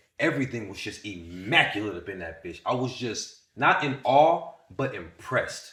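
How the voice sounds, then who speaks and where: An animated, bright and sharp voice with vocal fry, very wide pitch swings, big swings in loudness, a moderate pace and audible room echo. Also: man, medium pitch for a man. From US South, Winston-Salem, North Carolina. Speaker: content creator, podcast guest. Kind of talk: casual interview storytelling.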